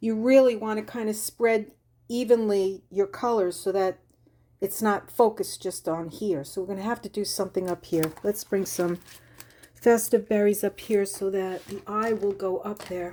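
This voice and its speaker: A woman with a Long Island accent, medium in pitch and dark and mellow in tone, at a moderate pace with fairly even intonation. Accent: Long Island accent, still noticeable. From Long Island, New York. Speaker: crafting YouTuber. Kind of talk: crafting tutorial. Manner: casual, chatty.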